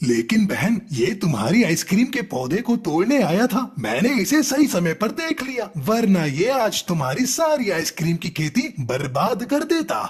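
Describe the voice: A man's cartoonish character voice, high-pitched with very wide pitch swings, at a moderate pace with hardly any pauses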